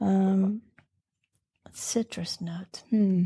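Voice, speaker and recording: Recorded with a dry, close sound and no echo, a woman speaks at a medium pitch in a dark, mellow, somewhat breathy tone with ordinary pitch variation. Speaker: podcast host. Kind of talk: casual chat.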